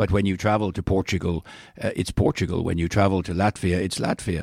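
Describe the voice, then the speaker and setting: With a Dublin accent, a man speaks in a dry, close sound with no echo. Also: very clean recording, silent background. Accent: Irish, Dublin. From Ireland, Dublin. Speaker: diplomat. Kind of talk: interview. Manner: halting, many fillers.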